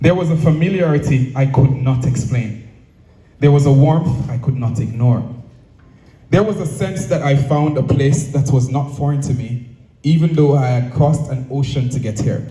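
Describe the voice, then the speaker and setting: A man with a fairly high voice talks at a moderate pace with fairly even intonation, and audible room echo fills the recording. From Jamaica. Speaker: speaker at cultural event. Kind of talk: prepared speech. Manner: formal.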